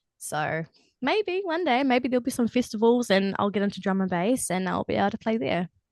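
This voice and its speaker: With a New Zealand accent, a woman talks at a fairly quick pace with a fairly high pitch and very wide pitch swings, the sound dry and close with no echo against a quiet background. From New Zealand, Matamata. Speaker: singer-songwriter. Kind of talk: casual chat.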